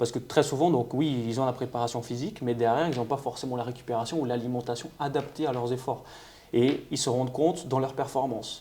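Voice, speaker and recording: Speaking at a fairly quick pace, a man has a dark, mellow tone, medium pitch and fairly even intonation. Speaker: nutritionist and amateur bodybuilder. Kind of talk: podcast interview. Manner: hesitant, repeats words.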